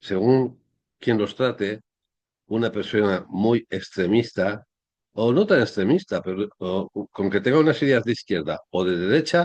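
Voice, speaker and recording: Against a quiet background, a man with a fairly low pitch talks at a fairly slow pace with lively intonation, the sound dry and close with no echo. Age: 60s. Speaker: history commentator. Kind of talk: monologue commentary. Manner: halting.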